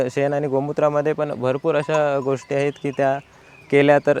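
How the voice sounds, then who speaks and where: The sound is dry and close with no echo, though noticeable background noise is present. A man speaks at a fairly high pitch. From Konkan, Sindhudurg district, Maharashtra. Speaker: cow farmer and ayurvedic product maker. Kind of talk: interview.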